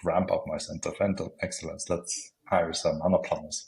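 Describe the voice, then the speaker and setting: A man talks at a fairly quick pace with an Austrian accent. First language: German. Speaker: planning software consultant. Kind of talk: podcast interview. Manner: halting.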